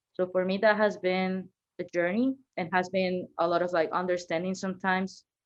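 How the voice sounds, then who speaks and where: A woman in a Venezuelan accent speaks at a moderate pace, medium-pitched, with fairly even intonation. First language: Spanish. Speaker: marketing manager. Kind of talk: podcast interview, personal story.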